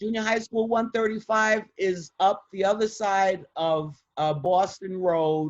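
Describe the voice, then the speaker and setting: In a New York accent, a woman speaks at medium pitch with ordinary pitch variation. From Bronx, New York. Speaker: retired criminal defense attorney. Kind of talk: interview answer.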